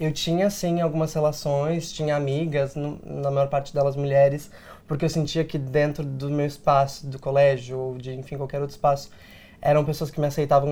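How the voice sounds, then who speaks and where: Here a man talks at a fairly high pitch with a dark, mellow tone. His intonation is monotone and flat. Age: 20s. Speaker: actor and diversity consultant, online content creator. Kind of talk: interview. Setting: studio.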